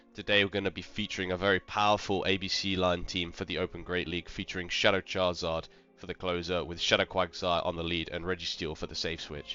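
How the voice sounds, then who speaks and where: Over music in the background, a man with a very deep, low pitch talks at a very fast pace with fairly even intonation. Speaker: gaming YouTuber. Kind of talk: live commentary.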